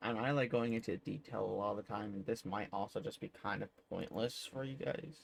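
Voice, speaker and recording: A man talks quietly at a moderate pace and medium pitch. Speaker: gaming youtuber. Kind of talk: tutorial.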